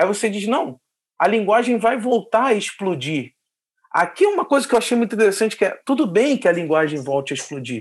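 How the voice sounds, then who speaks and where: A high-pitched man speaks at a fairly quick pace. His pitch swings very widely. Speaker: podcast host. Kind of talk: casual interview chat.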